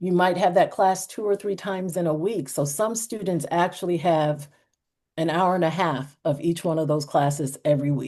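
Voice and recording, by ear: With an American accent, a woman speaks at a moderate pace in a fairly low pitch. Her tone is dark and mellow, with ordinary pitch variation.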